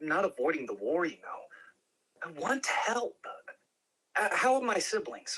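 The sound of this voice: In a put-on character voice with a fairly bright tone and a slightly husky edge, the speaker moves at a fairly slow pace with big pitch swings.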